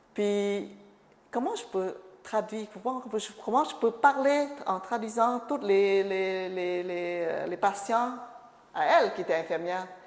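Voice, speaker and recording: Over noticeable background noise, a woman speaks at a very slow pace with long, frequent pauses, a medium pitch and ordinary pitch variation. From Cambodia. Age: 50s. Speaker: refugee sharing life story. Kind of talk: oral history interview. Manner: halting, many hesitations and repetitions.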